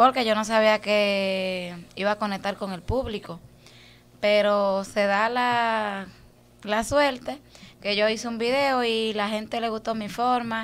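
A woman speaks with a fairly high pitch. Her intonation is fairly even and her pace very slow. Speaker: social media personality. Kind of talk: interview. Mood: relaxed, reflective. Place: studio. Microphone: studio mic.

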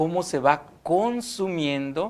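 A man talks with lively intonation. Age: young. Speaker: seminarian. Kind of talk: religious teaching. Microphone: lapel.

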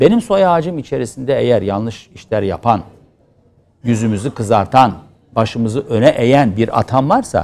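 A man speaks at a moderate pace with lively intonation. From Turkey. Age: 50s. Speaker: opposition politician and pediatrics professor; opposition politician, pediatrics professor. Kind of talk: TV interview. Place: studio.

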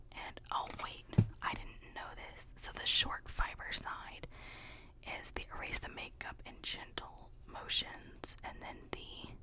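Over loud background noise, a soft-spoken woman whispers at a very slow pace. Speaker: haul vlogger. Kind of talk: casual haul chat, partly reading a label. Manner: soft whisper reading instructions. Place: home room. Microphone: studio mic.

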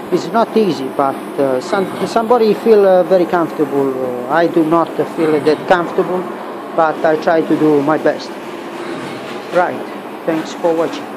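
Long, frequent pauses come through over noticeable background noise. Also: moderate pace. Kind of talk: casual workshop tutorial chat. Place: workshop. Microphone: phone near.

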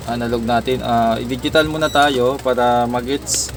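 Moderate pace with noticeable background noise. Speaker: electronics technician vlogger. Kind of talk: tutorial. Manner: halting, stutters at times.

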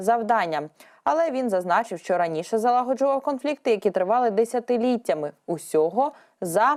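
Speaking at a moderate pace, the woman uses a fairly high voice whose pitch swings very widely. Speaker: news presenter. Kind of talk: news reading.

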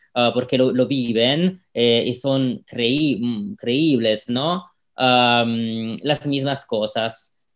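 A man's medium-pitched voice in an Italian accent, at a very slow pace with ordinary pitch variation and hardly any pauses, over a quiet background. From Italy, Rome. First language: Italian (speaking Spanish). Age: 30s. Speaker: local politician. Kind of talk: interview. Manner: halting, many fillers. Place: home room. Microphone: video call.

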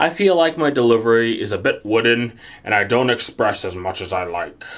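A man talks at a fairly quick pace. His medium-pitched voice has lively intonation. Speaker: YouTuber. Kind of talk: scripted talk to camera. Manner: somewhat wooden delivery.

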